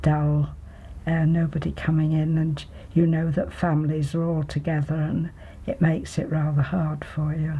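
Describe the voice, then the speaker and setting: A woman talks at a moderate pace in a very deep, low pitch with a dark, mellow tone. Her delivery is somewhat breathy, with monotone, flat intonation. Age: 90s. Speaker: elderly tea party guest. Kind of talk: interview testimony.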